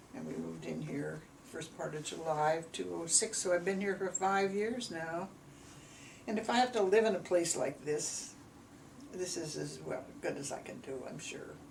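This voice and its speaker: With an American accent, a woman speaks at a moderate pace in a fairly low pitch, with ordinary pitch variation and big swings in loudness. Audible room echo is present. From US Midwest, Gary, Indiana. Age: 90s. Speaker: elderly mother recounting her life. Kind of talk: family oral history interview. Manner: halting.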